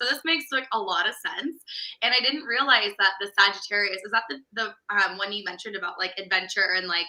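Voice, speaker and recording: A woman with an American accent, medium-pitched and very fast, with lively intonation. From California. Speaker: business coach. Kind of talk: casual chat.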